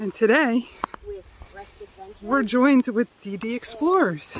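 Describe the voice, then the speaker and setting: The recording is dry with no echo and has light background noise. A woman speaks with ordinary pitch variation. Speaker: exploration vlogger. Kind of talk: casual vlog chat. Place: forest. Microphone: phone near.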